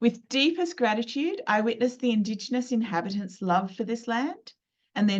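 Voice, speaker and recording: A woman with an Australian accent speaks at a moderate pace, her fairly high, somewhat breathy voice carrying lively intonation. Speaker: lawyer and business mentor. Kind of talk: webinar presentation. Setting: live video webinar.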